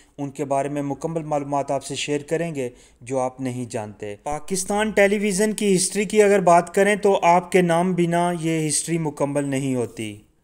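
With an unremarkable speaking voice, a man talks at a fairly high pitch and with lively intonation, leaving hardly any pauses. The recording is very clean, the background silent. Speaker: YouTube biography narrator. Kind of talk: biographical narration.

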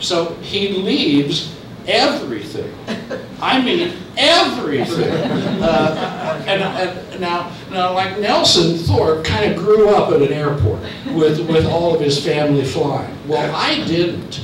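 A man speaks very slowly in a room with audible echo. Noticeable background noise is present. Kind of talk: lecture.

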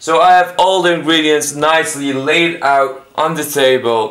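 Over a quiet background, a man speaks with a bright, sharp tone and fairly even intonation. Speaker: home cook vlogger. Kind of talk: casual vlog chat. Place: kitchen. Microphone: phone near.

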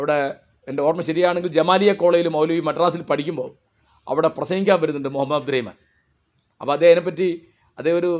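A man with a normal speaking voice, his fairly high pitch held in fairly even intonation. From Kerala, Kozhikode district (Mukkam area); Kerala. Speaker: writer and commentator; commentator. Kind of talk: monologue talk. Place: garden.

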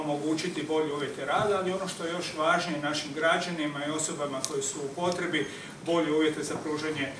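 Background noise is noticeable behind a man's voice. His intonation stays monotone and flat. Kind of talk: press conference statement. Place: hall. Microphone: handheld.

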